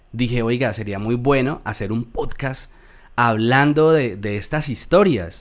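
A man with a Colombian accent talks at a fairly slow pace and a medium pitch. The recording is very clean, with a silent background. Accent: Colombian, well preserved. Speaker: podcast host, immigrant. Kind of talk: interview.

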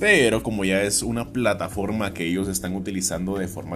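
Music in the background behind a man's voice at a moderate pace. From Guatemala. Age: 20s. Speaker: teacher and voice-over artist. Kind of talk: podcast monologue.

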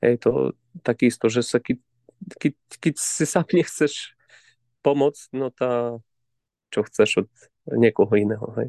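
Speaking in a Ukrainian accent, a man with a dark, mellow tone goes at a fairly slow pace with long, frequent pauses and ordinary pitch variation, the sound dry and close with no echo. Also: medium pitch for a man. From Ukraine, Zakarpattia mountains. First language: Ukrainian (speaking Slovak). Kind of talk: interview. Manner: halting, repeats words.

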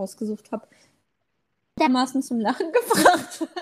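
Here a woman speaks. Her pitch is high. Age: 20s. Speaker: podcast co-host, university student. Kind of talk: casual chat.

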